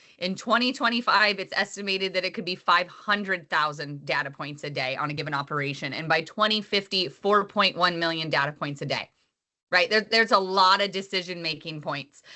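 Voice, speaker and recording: This voice moves at a fairly quick pace with ordinary pitch variation. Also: woman, medium pitch for a woman. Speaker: agronomist. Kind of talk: webinar presentation. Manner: fast.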